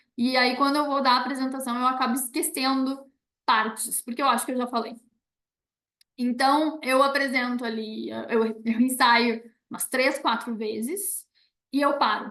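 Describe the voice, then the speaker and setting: A woman's high, bright, sharp voice at a moderate pace, with fairly even intonation and long, frequent pauses. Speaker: university professor giving a talk. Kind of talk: online presentation with Q&A. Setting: video call.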